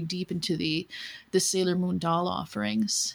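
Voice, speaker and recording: On a very clean recording with a silent background, a woman with an American accent and a plain, everyday voice speaks at a moderate pace and medium pitch. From US Midwest. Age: 40s. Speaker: doll collector guest. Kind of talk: casual chat.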